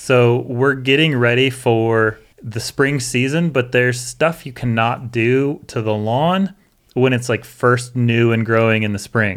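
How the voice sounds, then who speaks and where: At a fairly slow pace, a man with an American accent talks in an ordinary speaking voice of medium pitch with ordinary pitch variation. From US Northwest. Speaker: landscaper and education director. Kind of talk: casual chat. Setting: studio.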